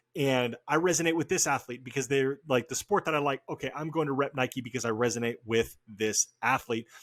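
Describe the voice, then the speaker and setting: In an ordinary speaking voice with an American accent, a man of medium pitch talks at a fairly quick pace with hardly any pauses and ordinary pitch variation, recorded very clean with a silent background and a dry, close sound with no echo. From Oregon, US Pacific Northwest. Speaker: podcast host. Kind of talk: casual interview chat.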